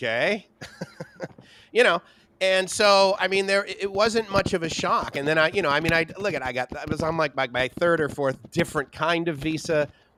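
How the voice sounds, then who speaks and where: Over noticeable background noise, a man speaks at a fairly high pitch and fairly quick pace with lively intonation. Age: 50s. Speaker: livestream co-host. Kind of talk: casual chat. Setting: livestream.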